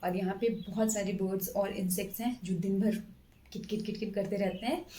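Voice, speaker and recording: At a moderate pace, a woman talks in a medium pitch with fairly even intonation and a somewhat breathy quality. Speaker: government stenographer and exam-prep YouTuber. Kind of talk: exam strategy talk to camera. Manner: hesitant, many fillers.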